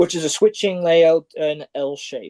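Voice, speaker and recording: A man with a Canadian accent has a fairly high pitch and a dark, mellow tone, heard in a dry, close sound with no echo. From western Canada. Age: 40s. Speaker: railroader and model railway hobbyist. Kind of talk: presentation. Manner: halting.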